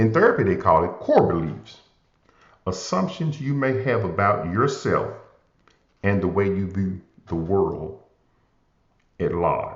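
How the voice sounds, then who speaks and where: A man with a Southern US accent speaks at a fairly slow pace, leaving long, frequent pauses, with audible room echo around him. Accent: southern drawl. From US South, Memphis, Tennessee. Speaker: motivational podcast host. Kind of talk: inspirational talk.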